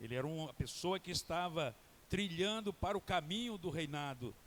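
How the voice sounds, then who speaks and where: High-pitched and lively in intonation, this man talks. His pace stays moderate. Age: 70s. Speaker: guest pastor. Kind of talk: sermon.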